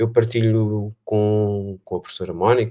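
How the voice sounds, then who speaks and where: A man talks in a European Portuguese accent, his tone dark and mellow with monotone, flat intonation. The sound is dry and close, with no echo. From Portugal. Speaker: education researcher. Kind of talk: online panel talk. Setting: video call livestream. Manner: hesitant, many fillers.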